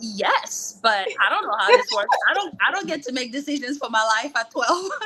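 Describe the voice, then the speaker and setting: A woman's high, raised, projected voice with very wide pitch swings at a moderate pace over noticeable background noise. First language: French. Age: 30s. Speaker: former college tennis player. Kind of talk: interview. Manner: casual, filler-heavy.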